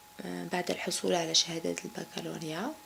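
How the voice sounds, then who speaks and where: A woman with an Algerian accent, against noticeable background noise. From Algeria, Kabylie. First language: Kabyle (speaking French). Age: 30s. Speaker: banker. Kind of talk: interview. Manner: halting, many fillers.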